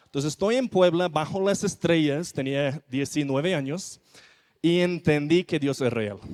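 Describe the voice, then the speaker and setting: A man's fairly high voice with a non-native accent, ordinary pitch variation and a fairly slow pace. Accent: foreign accent in Spanish. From non-Spanish-speaking country, not Mexico. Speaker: missionary preacher. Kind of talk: sermon.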